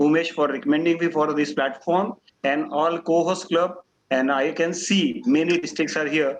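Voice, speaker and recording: With an Indian accent, a man talks at a high pitch. His pace is moderate and his pitch variation ordinary. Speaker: doctor and guest speaker. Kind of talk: talk at an online club meeting.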